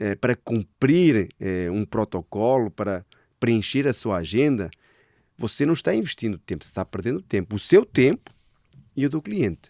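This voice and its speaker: A man's dark, mellow voice at medium pitch, with lively intonation, on a very clean recording against a silent background. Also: moderate pace, dry, close sound with no echo. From Portugal. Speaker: sales director. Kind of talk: casual interview chat.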